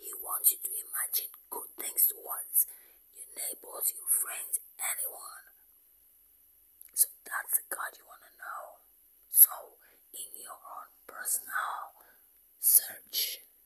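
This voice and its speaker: Whispering at a very slow pace, with long, frequent pauses. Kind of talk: ASMR whispered talk with religious affirmations. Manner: whispered.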